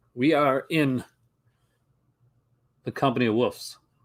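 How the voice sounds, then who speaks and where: This man speaks with a Newfoundland accent at a medium pitch. The recording is very clean, with a silent background. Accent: Newfoundland Canadian. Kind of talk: casual, conversational, film commentary.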